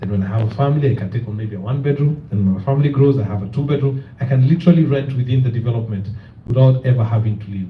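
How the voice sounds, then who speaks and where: Audible room echo surrounds a man who talks at a very fast pace, somewhat breathy, with ordinary pitch variation. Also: medium pitch for a man. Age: young. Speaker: real estate company representative. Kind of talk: presentation with Q&A at community meeting.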